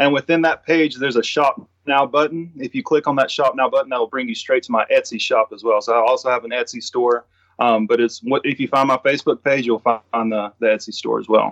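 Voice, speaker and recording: In a Southern US accent, a man talks at a medium pitch and a fairly quick pace with hardly any pauses and ordinary pitch variation, the sound dry and close with no echo. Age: 30s. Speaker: sports artist. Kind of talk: interview. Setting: remote call.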